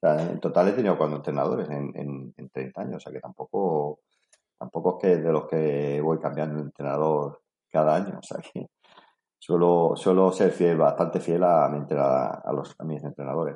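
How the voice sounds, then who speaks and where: A man's very deep, low voice with a dark, mellow tone and vocal fry, fairly even in intonation, at a moderate pace, with a dry, close sound and no echo. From Spain, Murcia region. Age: 50s. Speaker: duathlete. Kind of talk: interview.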